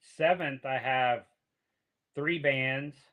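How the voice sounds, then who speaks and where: A man speaks with an American accent at medium pitch. His tone is bright and sharp. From Pennsylvania. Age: 60s. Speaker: music promoter and guitarist. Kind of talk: casual chat.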